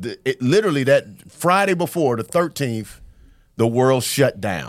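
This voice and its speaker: Over a silent background on a very clean recording, a plain, everyday voice with an American accent speaks at a fairly slow pace with lively intonation. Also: man. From US South. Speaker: comedian. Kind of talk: casual chat.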